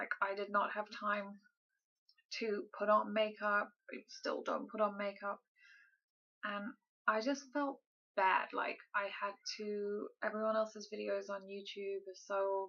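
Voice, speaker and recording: The speaker is soft-spoken, with monotone, flat intonation, a fairly slow pace, and long, frequent pauses. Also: woman, medium pitch for a woman. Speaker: vlogger. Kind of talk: casual vlog update. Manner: quiet, soft-spoken.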